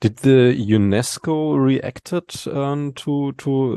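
Over a quiet background, a man with a German accent speaks at a medium pitch in a dark, mellow tone with ordinary pitch variation, in a dry, close sound with no echo. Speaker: podcast host. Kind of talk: interview. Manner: hesitant.

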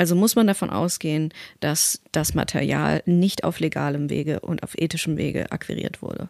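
Recorded very cleanly against a silent background, a woman talks at a moderate pace with a dry, close sound and no echo. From Westphalia, Germany. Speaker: voice actor. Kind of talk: interview.

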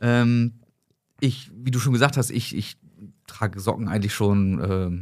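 A man talks at a fairly slow pace with lively intonation and a medium pitch. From northern Germany, Hamburg. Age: 30s. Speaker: sock company founder. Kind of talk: casual chat.

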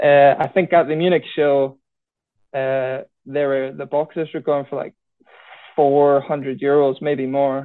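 With a Scottish Highland accent, the speaker goes at a fairly slow pace in monotone, flat intonation, leaving long, frequent pauses. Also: man, fairly high pitch for a man. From Scottish Highlands. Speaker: schoolteacher and card show organiser. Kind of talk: casual chat.

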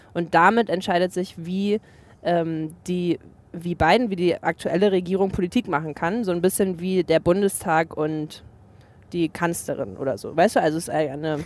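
Moderate pacing and ordinary pitch variation in an ordinary speaking voice. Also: woman, fairly low pitch for a woman. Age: 20s. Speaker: TV journalist. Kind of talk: casual chat. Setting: in a car.

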